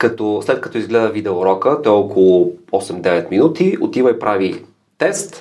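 A man with a plain, everyday voice, medium pitch and moderate pace. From Bulgaria, Gabrovo. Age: 30s. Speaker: education entrepreneur. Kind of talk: interview conversation.

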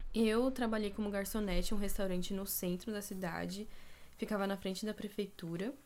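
A woman has an unremarkable speaking voice, medium in pitch, with fairly even intonation and a fairly quick pace. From São Paulo city, Brazil. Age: 20s. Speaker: podcast co-host, architecture student. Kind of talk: casual chat.

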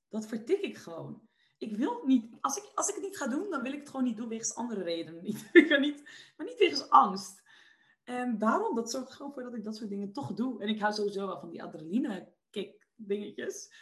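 The voice swings very widely in pitch and shifts a lot in loudness. It moves at a fairly quick pace. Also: woman, fairly high pitch for a woman. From Netherlands, Westland (South Holland). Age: 20s. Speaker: entrepreneur and personal development coach. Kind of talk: podcast interview. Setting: video call.

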